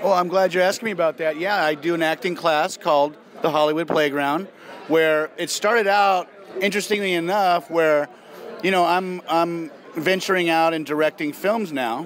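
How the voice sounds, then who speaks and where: At a moderate pace and with fairly even intonation, the voice comes through light background noise. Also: man, high pitch for a man, dry sound with no echo. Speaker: actor being interviewed. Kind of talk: interview answer. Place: hall.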